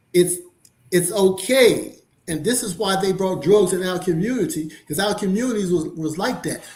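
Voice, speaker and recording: In a room with audible echo, a man talks at a moderate pace in a high pitch with ordinary pitch variation. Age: 70s. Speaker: panelist. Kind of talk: panel discussion.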